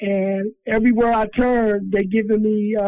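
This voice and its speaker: The man's voice is high in pitch, with fairly even intonation. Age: 50s. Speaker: prison inmate. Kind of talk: interview.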